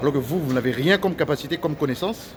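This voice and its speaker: This man's voice sits fairly high, moving at a moderate pace. Room echo is audible, and background noise is noticeable. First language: Lingala (speaking French). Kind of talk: angry video rant. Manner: halting, many repetitions.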